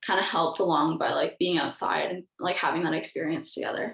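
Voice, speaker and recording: Speaking at a moderate pace with a Canadian accent, a woman uses an ordinary speaking voice at a medium pitch. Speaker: university student, outdoor club trip coordinator. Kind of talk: casual group discussion.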